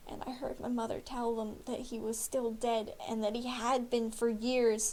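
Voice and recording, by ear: A natural voice reading aloud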